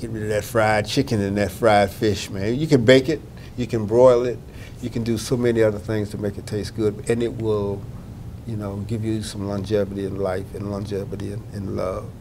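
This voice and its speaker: A man with a Southern US accent talks at a moderate pace with fairly even intonation, and the room echo is audible. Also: fairly low pitch for a man. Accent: Southern US (Georgia). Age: 60s. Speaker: health outreach manager. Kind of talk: interview. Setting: conference. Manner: halting, many fillers.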